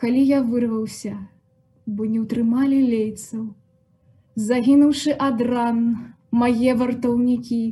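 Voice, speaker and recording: A woman's high-pitched voice, dark and mellow in tone, at a very slow pace. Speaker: poet reading aloud. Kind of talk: poetry reading in a patient's voice, a stark first-person monologue.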